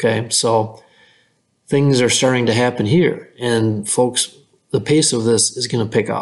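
A man's ordinary speaking voice, medium in pitch, with fairly even intonation at a fairly slow pace. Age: 50s. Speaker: farm equipment podcast host. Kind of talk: casual interview chat.

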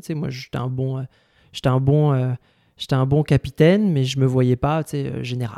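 The voice has a dark, mellow tone and fairly even intonation at a moderate pace. The sound is dry and close, with no echo. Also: man. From France. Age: 30s. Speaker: healthcare company executive. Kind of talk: casual chat.

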